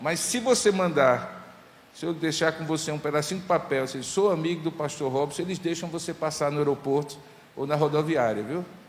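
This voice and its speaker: Speaking at a moderate pace in a Paraíba accent, a man's fairly high voice shows ordinary pitch variation, with audible room echo and noticeable background noise. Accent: Northeastern Brazilian (Paraíba). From Paraíba, Brazilian Northeast. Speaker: pastor. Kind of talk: sermon.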